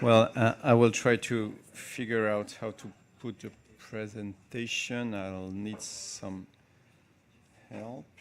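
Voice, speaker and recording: This man speaks in a French accent at a fairly low pitch. His intonation is fairly even. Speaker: journalism professor and journalist. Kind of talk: conference panel talk. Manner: halting, many fillers.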